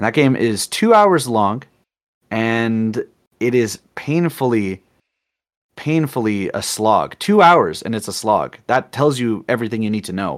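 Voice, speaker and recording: A man with a plain, everyday voice speaks at a fairly slow pace and medium pitch. His pitch varies in an ordinary way on a very clean recording with a silent background. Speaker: artist and streamer. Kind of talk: casual chat.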